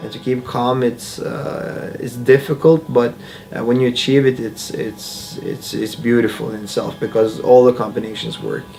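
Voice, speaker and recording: Over music in the background, a man with a medium pitch and ordinary pitch variation speaks at a moderate pace, his loudness swinging widely. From Bosnia. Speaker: MMA fighter. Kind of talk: interview. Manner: halting.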